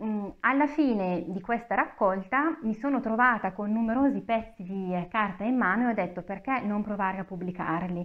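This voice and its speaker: Over a quiet background, a woman talks at a moderate pace with a medium pitch. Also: ordinary pitch variation, hardly any pauses. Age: 30s. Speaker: author with fibromyalgia. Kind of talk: interview. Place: meeting room. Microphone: lapel.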